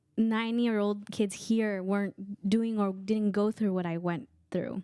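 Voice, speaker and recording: A woman with a Guatemalan accent, medium pitch, dark and mellow tone, fairly even intonation and fairly slow pace on a very clean recording with a silent background. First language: K'iche'. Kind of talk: casual chat.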